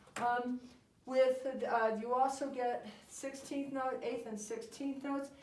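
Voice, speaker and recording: A woman speaks very slowly at a high pitch in a monotone, flat intonation. Audible room echo surrounds her voice. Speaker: music education product creator. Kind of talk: tutorial.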